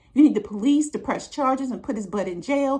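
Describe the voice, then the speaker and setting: A woman speaks with an American accent. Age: 60s. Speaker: relationship advice vlogger. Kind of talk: monologue to camera.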